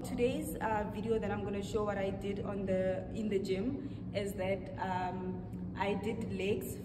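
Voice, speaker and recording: Loud background noise runs beneath a woman's voice. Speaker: fitness vlogger. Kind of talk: casual vlog chat. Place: gym. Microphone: camera far.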